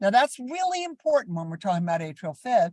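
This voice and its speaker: An animated woman's voice with very wide pitch swings, dry and close with no echo. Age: 70s. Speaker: critical care educator. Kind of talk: lecture.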